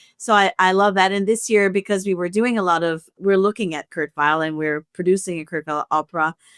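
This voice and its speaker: A woman with a French Canadian accent talks at a fairly quick pace and a medium pitch, in a dry, close sound with no echo. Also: ordinary pitch variation. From Canada, French-speaking. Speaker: opera music director and pianist. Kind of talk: podcast conversation.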